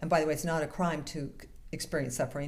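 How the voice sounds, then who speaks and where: Audible room echo around a woman with a dark, mellow tone. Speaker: minister. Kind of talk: sermon. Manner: fast.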